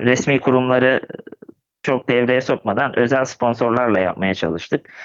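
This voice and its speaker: At a moderate pace, a man talks in a plain, everyday voice of medium pitch. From Turkey, Gebze (Kocaeli). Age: 20s. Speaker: cycling club president. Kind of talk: podcast interview.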